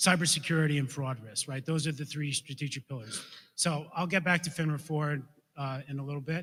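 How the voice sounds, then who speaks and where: This man has a fairly high pitch and fairly even intonation. He speaks at a fairly quick pace. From New York. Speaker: financial regulator. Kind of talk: conference talk. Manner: fast.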